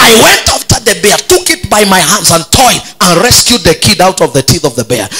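A man's raised, projected voice at a moderate pace, with faint music in the background. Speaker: pastor. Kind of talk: sermon. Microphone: handheld.

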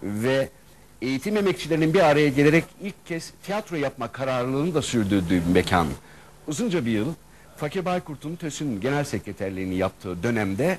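Against light background noise, a man talks at a moderate pace with very wide pitch swings. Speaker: guest. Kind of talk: interview answer. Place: studio.

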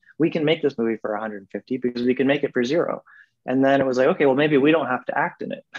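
Fairly quick speech with ordinary pitch variation over a quiet background. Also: man. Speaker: guest. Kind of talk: interview answer. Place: home room. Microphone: video call.

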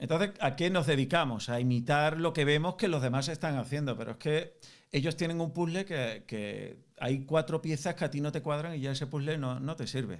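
In a plain, everyday voice, a man speaks at a moderate pace with ordinary pitch variation over a quiet background. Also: fairly high pitch for a man. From Spain. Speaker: music business coach. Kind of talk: online group Q&A mentoring session. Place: home room.

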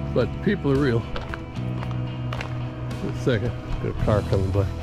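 Clear music sounds in the background. Over it, a man speaks fairly quickly. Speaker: older man vlogger travelling and greeting strangers. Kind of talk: casual talk to camera. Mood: upbeat, positive. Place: street. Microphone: phone near.

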